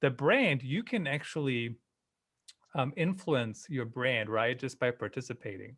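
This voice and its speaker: Speaking at a moderate pace, a man with a German accent uses a medium pitch and ordinary pitch variation. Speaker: live streaming marketing expert. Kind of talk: podcast interview.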